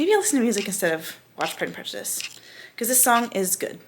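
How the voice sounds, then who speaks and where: Against noticeable background noise, a woman of medium pitch speaks at a very fast pace with very wide pitch swings. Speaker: student vlogger. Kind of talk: casual vlog.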